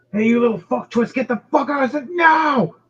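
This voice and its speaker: A man shouts in a put-on character voice at an extremely high pitch, keeping a moderate pace. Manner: yelling, angry.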